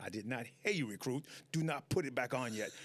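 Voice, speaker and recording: This man speaks in an American accent, letting his pitch rise and fall in an ordinary way. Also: very clean recording, silent background. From US South, South Carolina. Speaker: retired Marine drill instructor. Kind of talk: casual interview. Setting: studio. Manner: fast.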